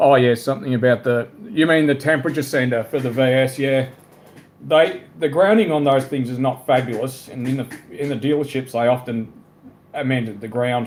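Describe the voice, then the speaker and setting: An Australian accent at a moderate pace. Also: man, medium pitch for a man, ordinary pitch variation. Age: 30s. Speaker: live streamer. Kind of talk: casual chat.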